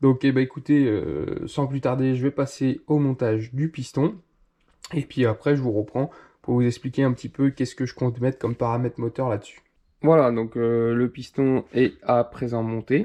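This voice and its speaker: In a quiet background, a man with a dark, mellow tone speaks at medium pitch and a moderate pace, his intonation fairly even. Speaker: moped mechanic youtuber. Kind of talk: tutorial. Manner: hesitant, many fillers.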